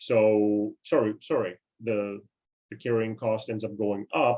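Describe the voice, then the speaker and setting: A man with a Canadian accent speaks at a medium pitch. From Canada. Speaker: investing seminar presenter. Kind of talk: online seminar. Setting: video call. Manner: halting, many fillers and repeats.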